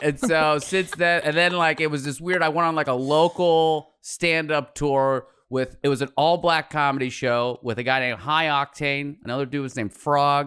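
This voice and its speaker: An unremarkable speaking voice, this man's is fairly high in pitch, with fairly even intonation, hardly any pauses and a moderate pace, in a very clean recording with a silent background. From Pittsburgh, US. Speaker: comedian and podcaster. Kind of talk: casual chat.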